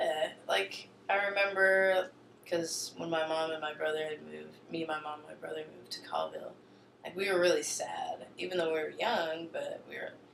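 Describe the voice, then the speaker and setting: A woman speaks with an American accent, her loudness swinging a lot. Room echo is audible. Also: moderate pace. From eastern Washington, US. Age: 20s. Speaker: interviewee. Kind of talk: interview.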